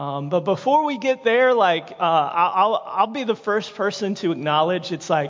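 With a Southern US accent, a man talks at a moderate pace in a high pitch with lively intonation over noticeable background noise. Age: 30s. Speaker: evangelist. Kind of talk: sermon. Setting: church.

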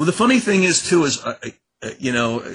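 Speaking with an American accent, a man moves at a fairly quick pace. His tone is bright and sharp. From Maryland, US. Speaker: author and criminology professor. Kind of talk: interview.

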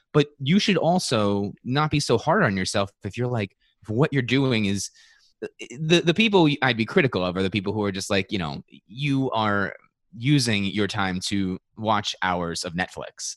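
A man with an ordinary speaking voice talks at a moderate pace and medium pitch, with lively intonation. The sound is dry and close with no echo, over a quiet background. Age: 30s. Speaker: podcast producer. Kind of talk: interview.

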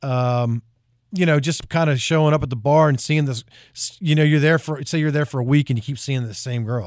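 A man with an American accent talks in a normal speaking voice at a fairly high pitch with ordinary pitch variation. His pace is fairly quick, and the recording is very clean with a silent background. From South Jersey, US. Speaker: country singer. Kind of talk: radio interview. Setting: radio studio.

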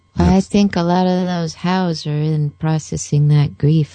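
Very deep and low in pitch, a woman with a somewhat breathy, dark, mellow tone and ordinary pitch variation is heard in a dry, close sound with no echo. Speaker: coach and co-host. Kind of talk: talk radio interview. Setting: studio.

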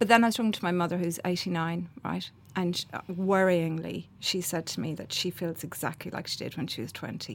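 Speaking at a fairly quick pace with hardly any pauses, a woman uses a fairly low pitch and ordinary pitch variation. The recording is very clean, with a silent background. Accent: Irish. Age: 50s. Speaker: playwright and columnist. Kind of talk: interview.

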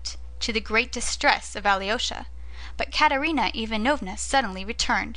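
This is an unforced reading voice. The words come out in that unforced reading voice throughout.

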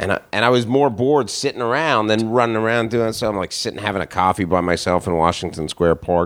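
A man at a very fast pace with hardly any pauses and ordinary pitch variation. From Canada, Toronto. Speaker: stand-up comedian. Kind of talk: casual chat.

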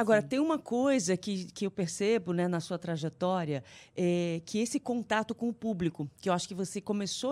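Medium in pitch with ordinary variation, a woman with a plain, everyday voice speaks at a moderate pace in a very clean recording with a silent background. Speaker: radio host. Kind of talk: interview.

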